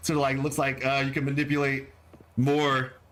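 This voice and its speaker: Here a man talks. His pitch is medium. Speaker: gaming livestreamer and lore video creator. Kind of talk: casual livestream chat. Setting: livestream. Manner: excitable, higher pitched when streaming.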